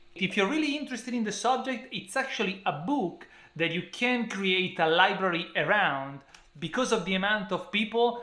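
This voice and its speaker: With an Italian accent, a man speaks in a raised, projected voice at a moderate pace with lively intonation. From Italy. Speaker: book reviewer. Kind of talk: book review talk to camera.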